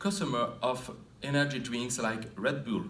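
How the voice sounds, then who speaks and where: Lively intonation marks a man's speech, heard with audible room echo. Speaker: occupational health researcher. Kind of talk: conference presentation. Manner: formal; halting.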